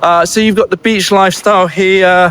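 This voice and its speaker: The speaker has a British accent and a moderate pace. The sound is dry and close, with no echo. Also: man. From UK. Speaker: real estate agent. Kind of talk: walking tour vlog. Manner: casual, hesitant with fillers.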